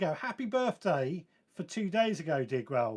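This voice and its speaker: Pitch swings very widely here. Delivery comes at a fairly slow pace. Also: man. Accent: southern English. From southern England (West Sussex). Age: 40s. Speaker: gardening podcast host. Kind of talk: live stream chat reading viewer comments.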